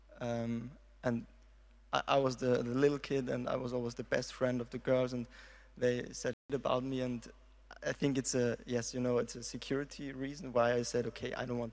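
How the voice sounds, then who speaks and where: With flat, monotone intonation, a man delivers his words fairly quickly. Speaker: audience member. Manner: halting, nervous.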